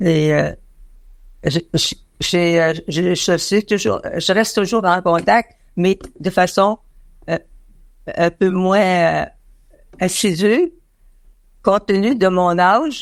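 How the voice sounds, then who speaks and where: A woman at medium pitch with ordinary pitch variation, a very slow pace, long and frequent pauses, and very even loudness. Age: 90s. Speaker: interviewee, visually impaired association member. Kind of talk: interview. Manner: halting, many hesitations.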